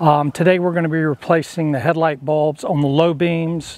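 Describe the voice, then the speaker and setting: At a moderate pace, a man speaks in a monotone, flat voice with a dry sound and no echo. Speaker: DIY video host. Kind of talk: tutorial. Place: garden. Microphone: lapel.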